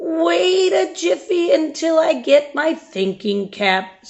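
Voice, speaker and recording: In a put-on character voice, a woman talks at a fairly slow pace with a high pitch and very wide pitch swings. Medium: read story. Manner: slow, folksy.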